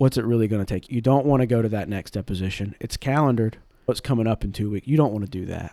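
On a very clean recording with a silent background, a man with a slight Southern US accent speaks at a very fast pace in a dark, mellow, medium-pitched voice with ordinary pitch variation. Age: 20s. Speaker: in-house general counsel. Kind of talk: casual interview conversation.

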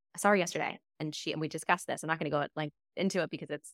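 Animated woman's voice, dry and close with no echo, in a very clean recording with a silent background. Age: 30s. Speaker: podcast co-host and actor. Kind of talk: casual chat.

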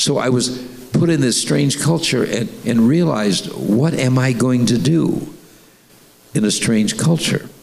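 A man speaks at a fairly slow pace and a medium pitch with lively intonation and very even loudness over noticeable background noise. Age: 80s+. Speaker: bishop and senior pastor. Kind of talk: sermon interview. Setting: church.

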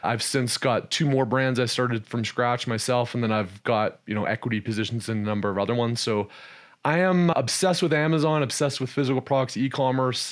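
Here a man talks at a fairly quick pace in a plain, everyday voice, at medium pitch with ordinary pitch variation. The recording is very clean, with a silent background. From Canada. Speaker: e-commerce entrepreneur and investor. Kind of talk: casual interview.

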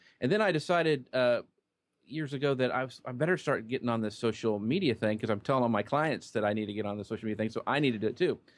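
Very fast speech from a man, medium in pitch, with ordinary pitch variation. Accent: American. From Kansas, small town. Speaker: social media marketer. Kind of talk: interview.

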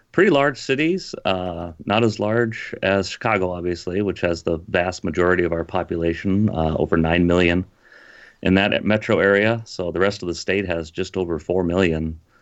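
In an Upper Midwest accent, a man talks at a moderate pace. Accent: Upper Midwest (Minnesota). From Minnesota, dairy farm. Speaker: pastor. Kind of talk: casual interview.

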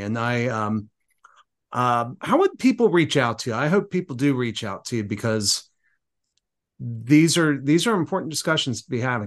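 At a fairly quick pace, a man uses a normal speaking voice with lively intonation over a quiet background. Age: 50s. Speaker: podcast host. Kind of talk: casual interview.

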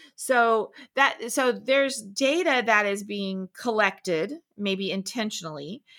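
A woman with a Southern US accent and a bright, sharp tone, on a very clean recording with a silent background. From Florida Panhandle, US South. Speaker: tech founder and industry consultant. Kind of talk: casual chat.

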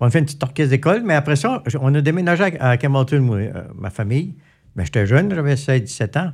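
Very fast, somewhat breathy speech from a man at a fairly high pitch, lively intonation, on a very clean recording with a silent background. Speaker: radio host and musician. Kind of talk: casual interview. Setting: studio.

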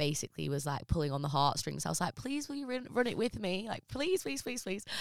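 A woman talks with lively intonation on a very clean recording with a silent background. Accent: English. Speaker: business consultant and former reality TV contestant. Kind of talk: casual interview chat.

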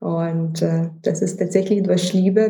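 A woman speaks at a very slow pace in a dark, mellow tone. Her voice is somewhat breathy. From Lithuania. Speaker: fashion researcher and startup founder. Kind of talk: interview.

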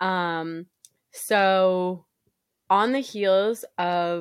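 The background is silent and the recording very clean. Her tone is animated, with ordinary pitch variation, and the speaker is a woman. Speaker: podcast co-host. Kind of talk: casual chat. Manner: animated, chatty.

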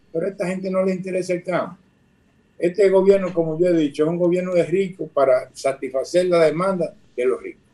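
A man with a high pitch and a dark, mellow tone talks at a fairly quick pace with fairly even intonation. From Dominican Republic, southern region (Barahona). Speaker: former agricultural bank administrator. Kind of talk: radio interview. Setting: video call.

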